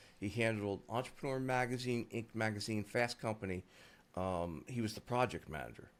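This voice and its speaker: Using a plain, everyday voice, a man speaks at a moderate pace with lively intonation. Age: 60s. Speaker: SEO agency founder. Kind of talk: interview conversation. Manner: casual, filler-heavy.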